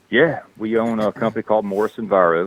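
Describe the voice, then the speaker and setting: Speaking very fast, a man talks with a Southern US accent. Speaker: actor and construction business owner. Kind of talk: casual chat. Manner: halting.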